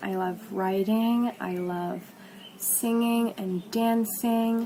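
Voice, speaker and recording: Noticeable background noise sits under a woman speaking at a very slow pace with ordinary pitch variation. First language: not English. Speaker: vlogger. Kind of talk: casual vlog talk.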